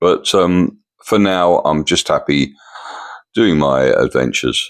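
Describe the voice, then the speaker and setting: A man in an English accent, with a dry, close sound and no echo. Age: 70s. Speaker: vlogger. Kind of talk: casual vlog monologue. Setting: at home in condo. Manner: halting.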